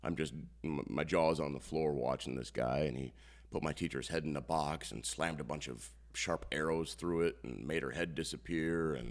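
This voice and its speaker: A man with an American accent and a very deep, low pitch speaks with vocal fry and ordinary pitch variation. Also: moderate pace. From northeast Iowa, US Midwest. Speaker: comedian-magician. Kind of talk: casual interview chat. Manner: halting, many fillers.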